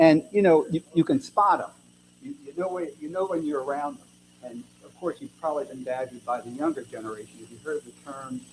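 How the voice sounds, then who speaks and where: With an American accent, a man talks at a fairly quick pace and fairly high pitch, with lively intonation and big swings in loudness. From western Maryland. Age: 60s. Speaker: author. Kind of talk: author talk to audience. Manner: animated.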